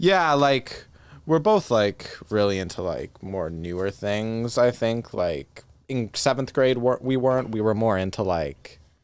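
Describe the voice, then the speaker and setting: With a plain, everyday voice, a man talks at a fairly slow pace, medium in pitch and lively in intonation. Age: 20s. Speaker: singer-songwriter. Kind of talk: casual chat. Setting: studio.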